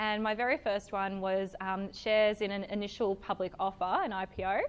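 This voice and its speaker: Speaking at a moderate pace, a woman talks with an Australian accent. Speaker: event speaker, stockbroking employee. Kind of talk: talk to a live audience. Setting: evening networking event with audience. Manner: loud; casual, many fillers.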